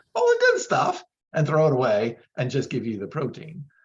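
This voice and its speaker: The man's voice is somewhat breathy. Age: 60s. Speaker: vegan bodybuilder and supplement company owner. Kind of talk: interview. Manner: animated.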